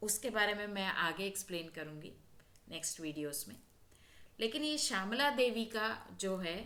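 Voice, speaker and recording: In a South Indian accent, a woman with a bright, sharp tone and a medium pitch speaks with lively intonation, big swings in loudness, and long, frequent pauses. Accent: South Indian accent in Hindi, non-native. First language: South Indian language (speaking Hindi). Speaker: spiritual healer and astrology channel host. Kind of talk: spiritual talk to camera.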